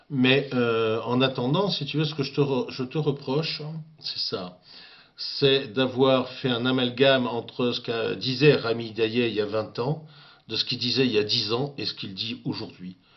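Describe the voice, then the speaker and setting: Speaking fairly slowly at a medium pitch, a man uses ordinary pitch variation. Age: 60s. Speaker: political commentator. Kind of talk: video rant addressing a critic. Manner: halting, many hesitations.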